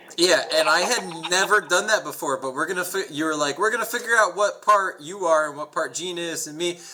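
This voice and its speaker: Over noticeable background noise, a man talks at a fairly quick pace in a high voice with ordinary pitch variation, big swings in loudness and hardly any pauses. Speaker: podcast co-host. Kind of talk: casual chat.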